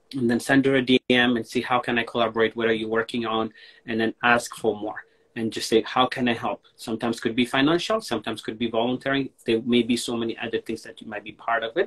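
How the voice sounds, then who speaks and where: A man with an Ethiopian accent talks at a very fast pace against a quiet background. His intonation stays fairly even. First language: Amharic. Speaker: online show host. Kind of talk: casual chat. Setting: Instagram live video call. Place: home room.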